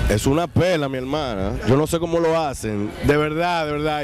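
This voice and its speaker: Over noticeable background noise, a man speaks in a Dominican accent at a moderate pace, his pitch fairly high with ordinary variation. The sound is dry, with no echo. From Dominican Republic. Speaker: actor and comedian. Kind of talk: interview answer. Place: hall. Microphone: handheld.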